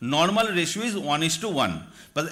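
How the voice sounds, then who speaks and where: Audible room echo surrounds a man who talks at a fairly quick pace, his high pitch carrying a bright, sharp tone. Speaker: doctor lecturing at medical conference. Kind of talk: lecture. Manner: fast.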